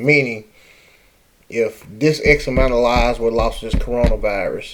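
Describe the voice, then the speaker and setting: This man speaks with a New Orleans accent. He keeps a moderate pace. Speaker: political commentator. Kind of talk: casual talk to camera.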